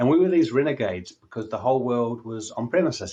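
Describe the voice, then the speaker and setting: A man with a New Zealand accent talks at a fairly quick pace against a quiet background. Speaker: technology analyst and commentator. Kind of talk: keynote talk. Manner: halting, many fillers.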